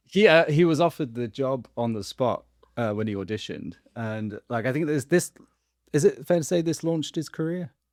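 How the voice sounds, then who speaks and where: With lively intonation and a fairly high voice, a man speaks at a fairly quick pace in a dry, close sound with no echo. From England. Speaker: actor, podcast guest. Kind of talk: casual chat.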